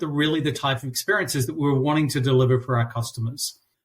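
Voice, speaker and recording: A man speaks with a New Zealand accent. His voice is somewhat breathy, with ordinary pitch variation. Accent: New Zealand accent, noticeable. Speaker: customer experience consultant. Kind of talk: interview. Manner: halting, many fillers and repeats.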